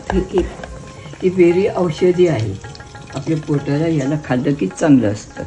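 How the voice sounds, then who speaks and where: With music in the background, a woman uses lively intonation in a very deep, low voice. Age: 80s+. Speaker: home cook. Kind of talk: cooking explanation to camera.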